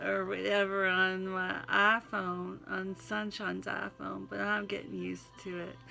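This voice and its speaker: Music plays in the background. A woman speaks with a Southern US accent. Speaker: vlogger reading own poetry. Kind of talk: casual chat and poem reading.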